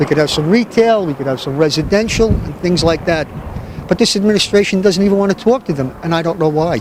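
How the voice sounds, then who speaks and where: Over noticeable background noise, the speaker talks at a very fast pace. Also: man, high pitch for a man, ordinary pitch variation. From Hoboken, New Jersey. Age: 60s. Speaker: city council candidate. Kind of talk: interview.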